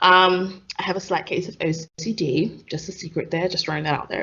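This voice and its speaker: With a London accent, a woman speaks at a moderate pace with ordinary pitch variation. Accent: London English with Nigerian heritage. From East London, Stratford. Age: 20s. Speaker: podcast co-host, pharmacist. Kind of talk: casual chat. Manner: animated.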